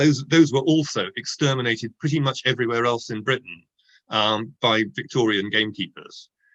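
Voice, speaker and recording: A man at a moderate pace with an Oxford accent, against a quiet background. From southern England, Oxford. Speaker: author, nature writer. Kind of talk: book launch interview. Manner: hesitant, many fillers and restarts.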